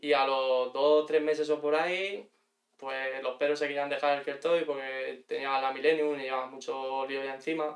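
At a moderate pace, a man speaks in a flat monotone at a fairly high pitch. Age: 30s. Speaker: bar owner. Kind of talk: casual chat.

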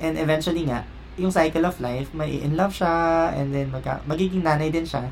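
A man talks at a fairly quick pace. Audible room echo is present. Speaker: podcast host. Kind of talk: casual chat.

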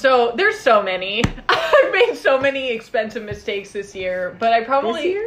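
Noticeable background noise beneath lively intonation and a moderate pace. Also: woman, fairly high pitch for a woman. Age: 20s. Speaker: podcast co-host. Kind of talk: casual chat. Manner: animated.

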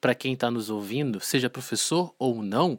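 A normal speaking voice from a man at a moderate pace, ordinary pitch variation, dry and close with no echo, on a very clean recording with a silent background. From Volta Redonda, interior of Rio de Janeiro state, Brazil. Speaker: teacher, podcast host. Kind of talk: casual chat. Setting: studio.

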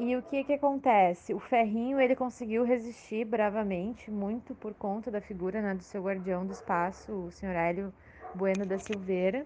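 A woman talks at a moderate pace and a medium pitch in a normal speaking voice. Her pitch variation is ordinary. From Porto Alegre, Brazil. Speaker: social scientist and cultural producer. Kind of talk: panel discussion. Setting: remote call.

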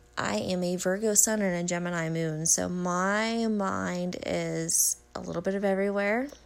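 With hardly any pauses, a woman speaks amid audible room echo and noticeable background noise. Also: ordinary pitch variation, moderate pace. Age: 20s. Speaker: podcast host. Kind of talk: casual recap monologue. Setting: at home. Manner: halting, stumbles over words.

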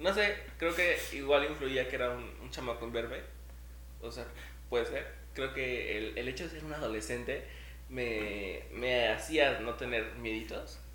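A man with a Mexican accent speaks at a fairly slow pace, with audible room echo. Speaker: podcast co-host. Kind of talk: casual chat. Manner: animated.

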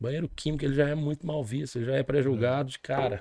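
A man with a dark, mellow tone and a fairly high pitch talks at a fairly quick pace. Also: dry, close sound with no echo. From southern Minas Gerais, Brazil. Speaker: music event producer. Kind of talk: casual interview.

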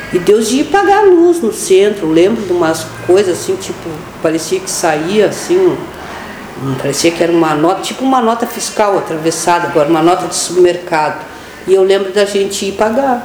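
A woman talks at a fairly quick pace, her pitch medium with ordinary variation. Noticeable background noise and audible room echo surround her voice. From Pelotas, Rio Grande do Sul, Brazil. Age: 50s. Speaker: education worker and union activist. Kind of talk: radio interview.

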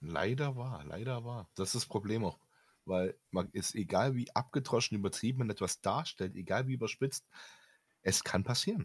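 A man with lively intonation speaks at medium pitch and a moderate pace, in a dry, close sound with no echo on a very clean recording with a silent background. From Germany. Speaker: podcast co-host, gamer. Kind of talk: casual chat.

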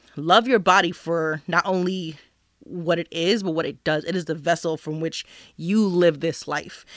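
At a fairly slow pace, a woman with fairly low pitch speaks in a normal speaking voice on a very clean recording with a silent background. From New Jersey. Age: 30s. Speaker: podcast guest, grad student and mother. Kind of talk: casual chat. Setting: studio.

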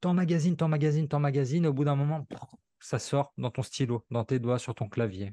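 At a fairly quick pace, the somewhat breathy voice shows ordinary pitch variation in a dry, close sound with no echo. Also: man, fairly high pitch for a man. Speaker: copywriter and author. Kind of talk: casual interview. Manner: fluid, natural delivery.

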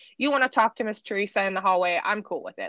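A woman talks at a fast pace with lively intonation and a fairly bright tone, in a dry, close sound with no echo.

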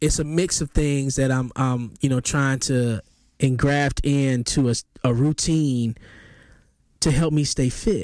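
A plain, everyday voice from a man at medium pitch, with fairly even intonation and very even loudness on a very clean recording with a silent background. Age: 40s. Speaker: podcast host. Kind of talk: solo commentary reacting to video clips.

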